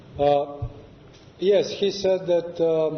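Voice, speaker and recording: There is audible room echo around a man speaking with a non-native accent. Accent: non-native English, learned in New York. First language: Serbian. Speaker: Orthodox monk and abbot. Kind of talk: lecture. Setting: church with audience. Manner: halting, frequent filler sounds.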